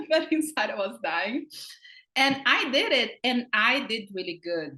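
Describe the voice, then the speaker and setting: A woman speaks at a high pitch in a bright, sharp tone. Her pitch swings very widely while her pace stays fairly slow. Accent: strong Brazilian. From Brazil, countryside. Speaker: comedian and actress. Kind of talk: interview. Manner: animated.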